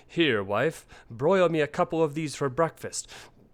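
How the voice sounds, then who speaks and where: The speaker uses a put-on character voice at a moderate pace. The recording is very clean, with a silent background. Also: man, fairly high pitch for a man. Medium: read story. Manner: gruff, domineering.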